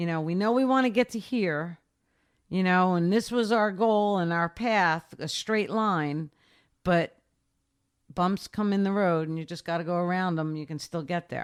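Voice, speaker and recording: Heard on a very clean recording with a silent background, a woman with a plain, everyday voice talks at a moderate pace and medium pitch, with ordinary pitch variation. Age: 60s. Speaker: swim coach and lifeguard. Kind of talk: interview.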